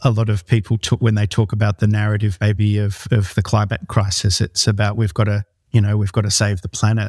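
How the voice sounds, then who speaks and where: Speaking fairly quickly with hardly any pauses, a man with an Australian accent has a fairly low, somewhat breathy voice and flat, monotone intonation, recorded with a dry, close sound and no echo. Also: very clean recording, silent background. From Australia, Northern Rivers, New South Wales. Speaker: company founder. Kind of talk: interview.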